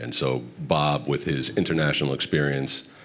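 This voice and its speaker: The voice belongs to a man with an American accent. His pitch is very deep and low. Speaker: football club executive. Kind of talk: panel discussion.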